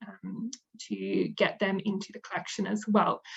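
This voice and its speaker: Speaking at a moderate pace, a woman with an Australian accent sounds somewhat breathy. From Western Australia (Perth). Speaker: museum manager. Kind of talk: presentation talk.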